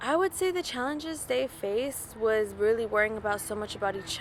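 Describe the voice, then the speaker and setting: A woman with a Californian accent, fairly high-pitched and fairly quick, over noticeable background noise. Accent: Californian American English. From Stockton, California. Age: 20s. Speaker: foster care survivor. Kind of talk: testimony. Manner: casual, filler-heavy.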